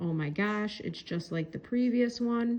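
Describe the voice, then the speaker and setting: A woman speaks with a normal speaking voice. Her pitch is fairly high, with ordinary pitch variation. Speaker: math teacher. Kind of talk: tutorial. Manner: casual.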